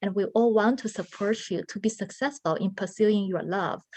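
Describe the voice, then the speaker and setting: A woman speaks at a fairly high pitch with a non-native accent. Her pace is moderate, and the background is quiet. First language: not English. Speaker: artist, grant recipient. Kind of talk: panel discussion.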